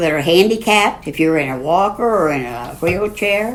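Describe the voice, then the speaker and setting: A woman with a medium-pitched voice talks at a moderate pace over noticeable background noise. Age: 80s+. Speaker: grandmother on national parks road trip. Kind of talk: podcast interview, storytelling.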